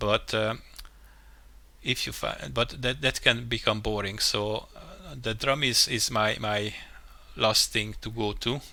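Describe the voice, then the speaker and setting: Speaking very slowly with a non-native accent, a man at medium pitch uses a bright, sharp tone with vocal fry and long, frequent pauses. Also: ordinary pitch variation. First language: not English. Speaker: game level mapper, tutorial youtuber. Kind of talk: tutorial. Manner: halting, many fillers and restarts.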